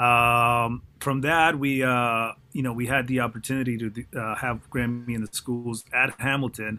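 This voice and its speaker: Monotone and flat, the speech goes at a fairly slow pace with hardly any pauses. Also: man, medium pitch for a man. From foreign country, immigrated as teen. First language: not English. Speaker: mixing engineer. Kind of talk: panel discussion.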